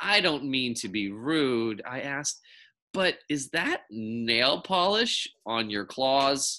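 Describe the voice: Against a quiet background, the text is read aloud plainly.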